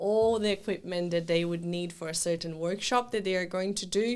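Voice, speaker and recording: At a moderate pace, the speaker uses fairly even intonation with a Brazilian accent. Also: woman. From southern Brazil. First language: Portuguese. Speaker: children's event planner. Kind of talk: casual interview chat. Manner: hesitant, many fillers and restarts.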